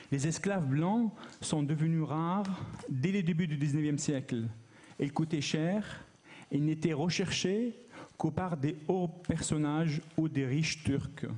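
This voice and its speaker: A man with a fairly high voice speaks at a very slow pace, leaving long, frequent pauses. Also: ordinary pitch variation, very even loudness. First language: not French, learned French recently as adult (speaking French). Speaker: academic researcher, conference speaker. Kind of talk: conference talk.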